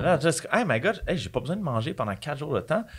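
A man with a Quebec accent speaks with vocal fry and very wide pitch swings. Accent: Québécois French. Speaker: author and bodybuilder; podcast guest. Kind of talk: casual chat. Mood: candid, animated. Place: studio. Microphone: studio mic.

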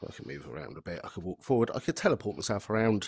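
In a dry, close recording with no echo, a man with a fairly low pitch and a slightly mellow tone talks at a fairly quick pace with lively intonation.

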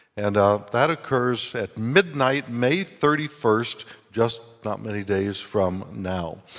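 Over a quiet background, a man with a medium-pitched voice talks very slowly with lively intonation. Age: 70s. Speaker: guest preacher and retiring university president. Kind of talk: sermon. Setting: church service. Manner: orator. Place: church. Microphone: handheld.

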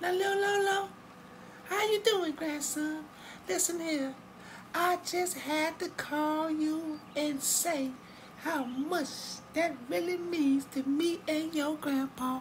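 A cartoonish character voice, female-sounding and extremely high, very slow with long, frequent pauses, over clear background noise. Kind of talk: comic cartoon voice acting. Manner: gushing, affectionate, repetitive.

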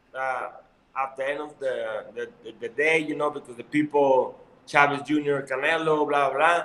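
A man with a Mexican accent talks at a fairly slow pace in a flat monotone, his loudness swinging widely, with audible echo in the room. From Mexico. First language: Spanish. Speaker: professional boxer. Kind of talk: interview. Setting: video call. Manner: halting. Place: home room. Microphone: video call.

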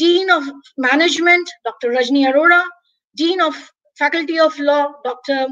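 A woman with an Indian accent and a high pitch, against a quiet background. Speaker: English professor and webinar organizer; English professor. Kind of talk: webinar hosting. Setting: video call. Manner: formal. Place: home room. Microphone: webcam.

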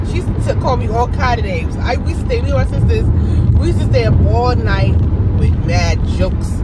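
A woman at a moderate pace, dry with no echo, over loud background noise. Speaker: vlogger. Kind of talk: casual vlog chat. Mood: amused, laughing storytelling. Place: car. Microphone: phone near.

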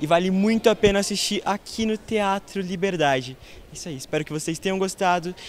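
The sound is dry with no echo, and light background noise is present. The pace is fairly quick. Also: man. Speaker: video host. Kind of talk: casual vlog review and sign-off. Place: stage. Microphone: handheld.

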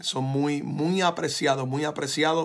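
Against a quiet background, a man talks in a fairly high voice. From Puerto Rico. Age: 40s. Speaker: pastor. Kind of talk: sermon. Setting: church. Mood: grateful, fervent, emotional. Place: home room. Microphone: phone near.

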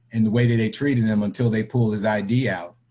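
A man with an American accent speaks at a fairly low pitch in a dark, mellow tone. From Florida (Tampa/St. Petersburg), born New York City. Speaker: credit union board member; interviewee. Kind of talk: personal testimony in online discussion. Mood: earnest, serious.

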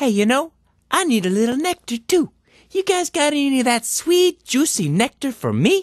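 A cartoonish character voice that sounds female is pitched high and moves at a moderate pace. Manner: casual, chummy.

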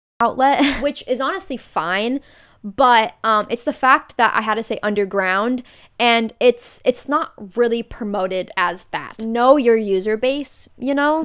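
A woman speaks at a high pitch. Her pace is fairly slow, and the background is quiet. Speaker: content creator. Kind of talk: commentary video essay. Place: home room.

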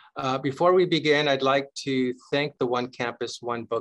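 A man speaks with ordinary pitch variation at a moderate pace over a quiet background. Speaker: university library dean hosting event. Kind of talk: formal welcome remarks. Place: office. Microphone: webcam.

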